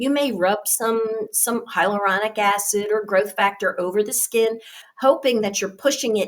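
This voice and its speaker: A woman speaks at a moderate pace and medium pitch. Hers is an unremarkable speaking voice. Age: 60s. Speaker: nurse and skincare trainer. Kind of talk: training webinar. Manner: casual, with frequent fillers.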